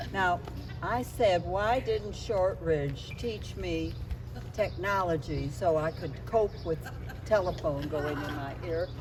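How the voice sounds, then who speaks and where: A woman's very slow speech in an American accent, with noticeable background noise and audible room echo. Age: 80s+. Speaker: alumni speaker. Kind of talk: speech to students.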